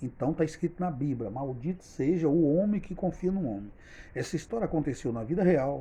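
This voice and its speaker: Speaking at a fairly quick pace, a man with a fairly high pitch uses lively intonation and a dark, mellow tone. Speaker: storyteller, channel owner. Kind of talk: storytelling monologue.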